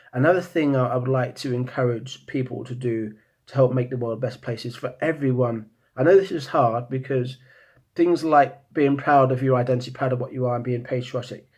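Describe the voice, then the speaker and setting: Against a quiet background, a man with a British accent mumbles at a fairly quick pace, sounding somewhat breathy, with a medium pitch and fairly even intonation. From Britain. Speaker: vlogger. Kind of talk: monologue. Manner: halting, many repeated words; mumbling.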